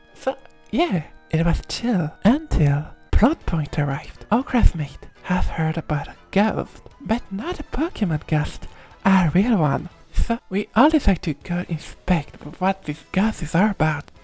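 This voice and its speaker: Music plays behind a woman at medium pitch. She talks at a fairly slow pace with very wide pitch swings. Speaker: vtuber. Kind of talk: casual gaming commentary.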